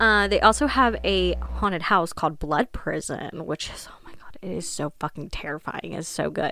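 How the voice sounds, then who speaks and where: In a Midwestern American accent, the speaker sounds animated at a moderate pace, with big swings in loudness on a very clean recording with a silent background. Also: woman. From Ohio. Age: 20s. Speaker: podcast host. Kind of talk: casual monologue.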